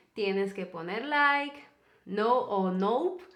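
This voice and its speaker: Her tone is bright and sharp, and her pitch swings very widely. The woman speaks at a very slow pace, with audible room echo. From Peru. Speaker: YouTuber, co-host of a couple's channel. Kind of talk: casual storytelling chat.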